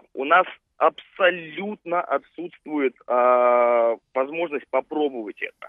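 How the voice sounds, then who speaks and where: In an ordinary speaking voice, a man with a fairly high pitch speaks with ordinary pitch variation. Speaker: radio caller. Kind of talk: call-in comment. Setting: phone call.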